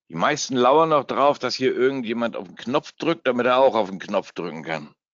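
Vocal fry runs through a man's medium-pitched voice. He speaks at a moderate pace. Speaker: forex trader and trading educator. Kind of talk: live trading webinar. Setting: webinar from home. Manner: casual, joking.

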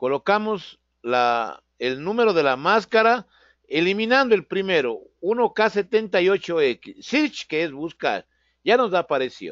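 A man talks at a very slow pace. His voice is high, with very wide pitch swings. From Ecuador. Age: 50s. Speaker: automotive programming instructor. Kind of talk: online lecture. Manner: hesitant, frequent fillers.

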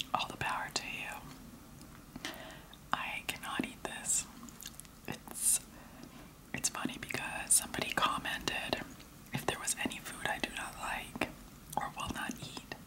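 A woman whispers at a fairly slow pace. Her pauses are long and frequent. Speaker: food vlogger. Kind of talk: casual vlog chat. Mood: disgusted amused. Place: kitchen. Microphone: phone near.

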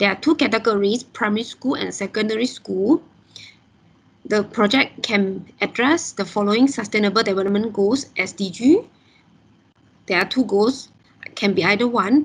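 A woman with a fairly high, somewhat breathy voice speaks at a moderate pace, using ordinary pitch variation and long, frequent pauses. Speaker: event secretariat moderator. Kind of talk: event introduction. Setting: video call. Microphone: video call.

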